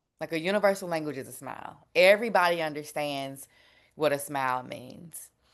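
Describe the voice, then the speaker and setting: Speaking with a Southern US accent, a woman with a fairly low pitch keeps a moderate pace. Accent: Southern twang. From Memphis, Tennessee, US South. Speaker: food justice advocate. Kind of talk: panel discussion. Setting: webinar. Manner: casual, conversational.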